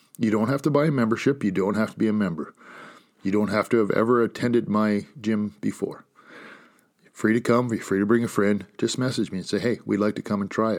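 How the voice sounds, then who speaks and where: A man's fairly low voice at a fairly quick pace, an unremarkable speaking voice with fairly even intonation, on a very clean recording with a silent background. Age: 40s. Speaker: podcast host and gym owner. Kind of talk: motivational solo talk.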